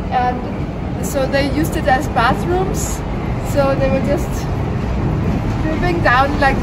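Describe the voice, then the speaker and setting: A woman talks fairly slowly, with loud background noise around her. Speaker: travel vlogger. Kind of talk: casual vlog chat. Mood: cheerful, curious. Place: street. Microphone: phone near.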